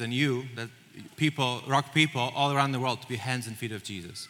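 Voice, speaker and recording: The speaker, with a Polish accent, keeps a fairly even intonation at a fairly quick pace amid noticeable background noise. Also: man. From Poland. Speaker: church missions director. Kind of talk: church presentation. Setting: stage with audience.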